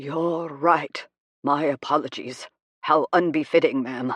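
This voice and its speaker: In a put-on character voice, someone growls at a middle pitch and a fairly slow pace. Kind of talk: dry, formal.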